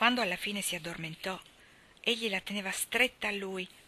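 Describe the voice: Someone does plain reading aloud. Pitch moves with ordinary variation.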